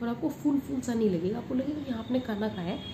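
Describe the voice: With vocal fry, a woman talks fast over clear background noise.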